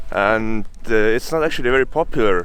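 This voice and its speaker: A man's voice with an Estonian accent and ordinary pitch variation. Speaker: travel vlogger. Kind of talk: outdoor vlog. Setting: outdoors in a bog. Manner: talkative, loud; hesitant, many fillers.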